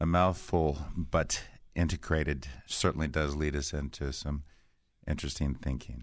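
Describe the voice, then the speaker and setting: Over a quiet background, a man with a very deep, low voice speaks with fairly even intonation and vocal fry. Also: moderate pace. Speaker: radio co-host. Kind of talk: radio talk show.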